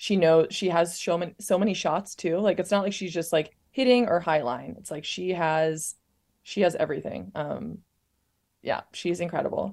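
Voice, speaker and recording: A woman's fairly low voice in an American accent, an unremarkable speaking voice at a moderate pace. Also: ordinary pitch variation. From Montana. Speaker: professional volleyball player. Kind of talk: casual interview chat.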